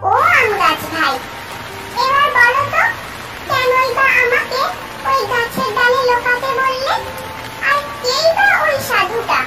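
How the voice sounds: A cartoonish character voice at an extremely high pitch plays over faint background music. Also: fairly slow pace.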